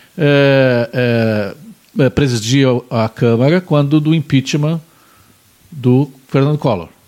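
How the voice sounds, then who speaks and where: Speaking at a very slow pace with long, frequent pauses, a man holds a medium pitch with ordinary variation and very even loudness. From Pelotas, Rio Grande do Sul, Brazil. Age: 50s. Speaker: talk show host. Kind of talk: casual interview chat.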